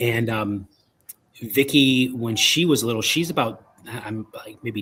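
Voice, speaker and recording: A man talks with a Chicago accent. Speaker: paranormal investigator and author. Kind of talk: interview. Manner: halting, many fillers and repeats.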